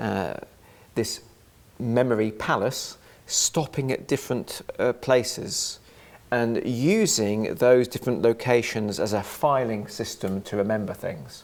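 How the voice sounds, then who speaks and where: Speaking at a fairly slow pace, a man with an English accent uses a medium pitch and ordinary pitch variation. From England. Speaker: author and freemason. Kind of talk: interview. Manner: halting.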